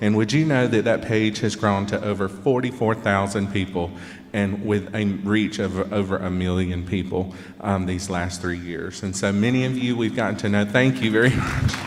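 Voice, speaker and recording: In a Georgia accent, a man speaks at a moderate pace with a fairly low pitch and fairly even intonation, and audible room echo surrounds his voice. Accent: Southern (Georgia). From Georgia, US South. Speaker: pianist, performer. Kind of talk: concert stage talk.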